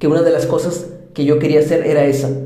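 A man with a Mexican accent speaks in a fairly high pitch for a man, his intonation monotone and flat, with audible room echo and noticeable background noise. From Mexico. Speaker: podcast host. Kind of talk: personal monologue.

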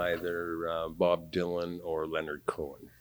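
A man speaks at a moderate pace in a very deep, low voice, with noticeable background noise behind him. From Canada, Vancouver. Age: 60s. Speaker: retired community theatre performer. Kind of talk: casual chat. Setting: studio.

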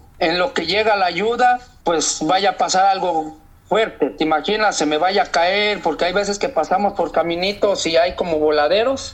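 A man's high-pitched voice, with ordinary pitch variation, carries at a moderate pace through noticeable background noise. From Mexico. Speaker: long-distance walker. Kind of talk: interview.

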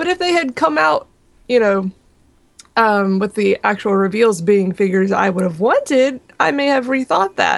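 A woman's medium-pitched voice at a moderate pace. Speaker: podcast co-host. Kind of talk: casual chat. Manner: giggly.

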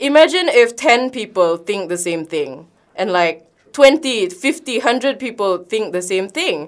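At a fairly slow pace, a woman with a Sabahan accent talks in a fairly high pitch with very wide pitch swings. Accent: Malaysian (Sabahan) English. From Sabah, Malaysia (Kota Kinabalu). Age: 20s. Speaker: youth activist. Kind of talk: radio talk show interview. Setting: radio studio. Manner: earnest, lightly hesitant with ums.

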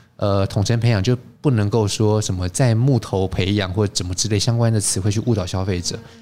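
A man with a fairly low voice talks at a fairly quick pace, with hardly any pauses and fairly even intonation. Music plays in the background. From Taiwan. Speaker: wine expert and teacher. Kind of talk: interview.

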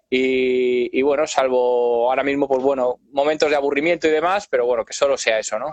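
A plain, everyday voice at a fairly quick pace with hardly any pauses and fairly even intonation, in a dry, close sound with no echo. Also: man, fairly high pitch for a man. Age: 30s. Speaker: drummer and YouTuber. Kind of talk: casual interview chat. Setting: online live video call.

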